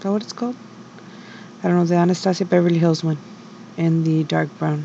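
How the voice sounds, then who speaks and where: A quiet woman with a fairly low pitch and a monotone, flat intonation, over noticeable background noise. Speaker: beauty vlogger. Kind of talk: get ready with me voiceover. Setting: home at night. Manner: quiet, low voice; hesitant, many fillers.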